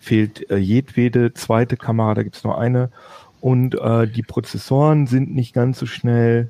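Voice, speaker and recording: This man speaks at a fairly slow pace in a dark, mellow tone, his medium pitch carried by fairly even intonation. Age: 30s. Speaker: tech podcast host. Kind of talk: casual chat. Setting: home office video call. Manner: hesitant, many fillers.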